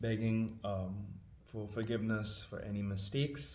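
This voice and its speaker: A man speaks at a fairly low pitch with fairly even intonation. There is audible room echo and noticeable background noise. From Trinidad and Tobago. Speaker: scripture reader and musician. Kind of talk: casual introduction before reading aloud. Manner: hesitant, many fillers.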